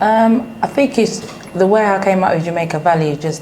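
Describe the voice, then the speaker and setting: A woman with a British accent at a fairly quick pace, with noticeable background noise and audible room echo. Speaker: business owner. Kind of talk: interview.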